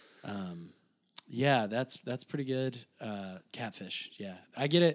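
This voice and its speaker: On a very clean recording with a silent background, a man with a plain, everyday voice speaks at a moderate pace with lively intonation and big swings in loudness. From Southern Illinois (Shawneetown, near Kentucky border). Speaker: comedian. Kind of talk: casual chat.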